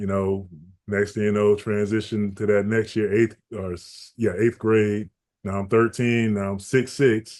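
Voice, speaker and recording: Against a quiet background, a man with a Georgia accent talks at a fairly slow pace with monotone, flat intonation. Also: fairly low pitch for a man. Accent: Southern US (Georgia). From US South, Augusta, Georgia. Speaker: basketball and fitness trainer. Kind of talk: podcast interview, casual life story.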